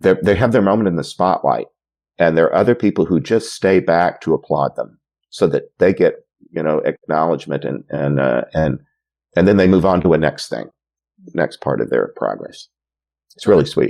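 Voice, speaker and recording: A man talks at a moderate pace, broken by long, frequent pauses. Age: 60s. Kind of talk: interview conversation. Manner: halting, many fillers and repetitions.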